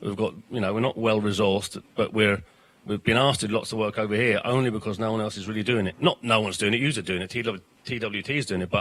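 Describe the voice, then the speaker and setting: A man with a South London accent, at a very fast pace. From South London, then Ireland as teenager. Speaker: political educator. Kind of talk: panel interview. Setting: studio in a bar, live broadcast. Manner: animated.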